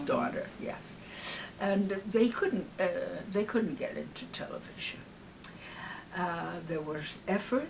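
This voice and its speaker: With an American accent, a woman at medium pitch speaks at a very slow pace with very wide pitch swings. Noticeable background noise can be heard. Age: 80s+. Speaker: singer. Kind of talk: interview answer. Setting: home. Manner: warm, witty.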